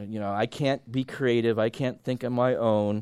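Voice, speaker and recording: The voice belongs to a man. The background is silent, and the recording very clean. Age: 60s. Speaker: preacher and college teacher. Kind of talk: sermon. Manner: halting.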